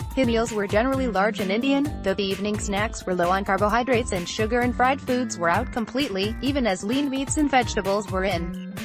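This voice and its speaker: Music plays in the background as a woman speaks at a very fast pace with hardly any pauses. Her pitch is medium, with ordinary pitch variation. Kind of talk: news article read aloud.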